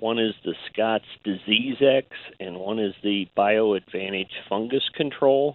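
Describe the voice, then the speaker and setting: In a normal speaking voice, a man talks at a fairly slow pace with a fairly low pitch. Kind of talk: casual chat. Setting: phone call.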